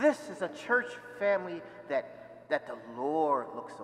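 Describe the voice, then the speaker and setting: A man talks at a moderate speed while noticeable background noise carries on behind him. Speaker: deacon. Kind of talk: homily. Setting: church.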